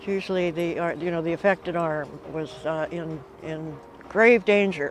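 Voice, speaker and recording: Noticeable background noise sits behind a woman with a fairly low pitch. Her intonation stays fairly even at a moderate pace. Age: 80s+. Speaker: breast cancer survivor and dragon boat paddler. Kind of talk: interview testimony.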